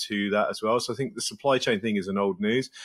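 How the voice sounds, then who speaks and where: At a very fast pace, a man with an English accent talks in a fairly low monotone with flat intonation against a quiet background. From England. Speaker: podcast guest. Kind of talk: interview answer. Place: home room. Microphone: earbuds.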